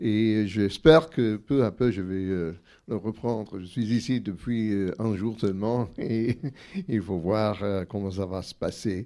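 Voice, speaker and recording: A man with an English accent, a fairly low pitch and a dark, mellow tone, at a very slow pace with ordinary pitch variation, in a very clean recording with a silent background. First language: English (speaking French). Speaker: anthropologist and author. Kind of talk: book talk interview. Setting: bookshop event with audience. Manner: halting, many hesitations.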